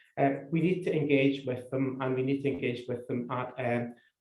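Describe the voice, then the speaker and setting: With a Scottish accent, a man speaks at a fairly quick pace and medium pitch, somewhat breathy and in a monotone, flat intonation. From Scotland. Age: old. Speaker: public health official. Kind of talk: seminar talk. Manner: halting, many repetitions.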